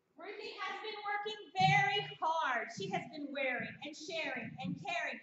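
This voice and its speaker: Loud and at an extremely high pitch, a woman speaks at a moderate pace amid audible room echo. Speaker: essential oil business trainer. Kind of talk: training seminar presentation. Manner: animated.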